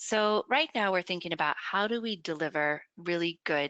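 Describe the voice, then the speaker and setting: Fairly quick and lively in intonation, a woman with a bright, sharp tone and fairly low pitch is recorded dry and close with no echo over a quiet background. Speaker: education professor presenting a webinar. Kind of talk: webinar lecture. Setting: online webinar. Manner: fast.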